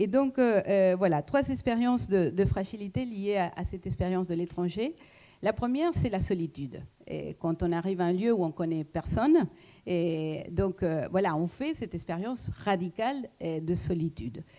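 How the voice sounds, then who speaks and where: With a non-native accent, a woman speaks at medium pitch in a dark, mellow tone with lively intonation. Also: moderate pace. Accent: foreign accent in French. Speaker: economist and lecturer. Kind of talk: talk to an audience. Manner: hesitant, many fillers.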